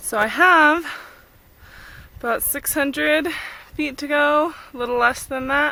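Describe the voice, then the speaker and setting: A woman with an American accent, high-pitched, raised and projected, bright and sharp in tone, at a fairly slow pace with long, frequent pauses and fairly even intonation. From California. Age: 20s. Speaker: backpacker vlogger. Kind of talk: video diary. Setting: outdoors.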